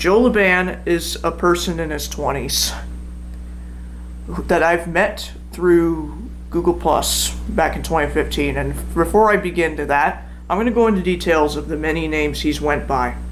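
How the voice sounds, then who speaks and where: A man's voice comes through noticeable background noise and audible room echo. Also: moderate pace. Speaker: YouTuber telling personal story. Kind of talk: personal account read from a script. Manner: halting, stumbles over words.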